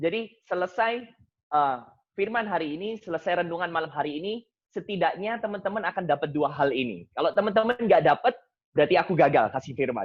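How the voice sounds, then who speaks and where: A man's fairly quick speech with lively intonation. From Indonesia, Surabaya (East Java). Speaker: seminarian and Bible study speaker. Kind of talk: Bible study talk. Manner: casual, mixing English phrases.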